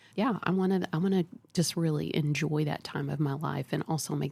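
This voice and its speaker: A woman speaks at a fairly quick pace with a very deep, low pitch, fairly even intonation and vocal fry. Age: 60s. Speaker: psychologist. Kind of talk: podcast interview.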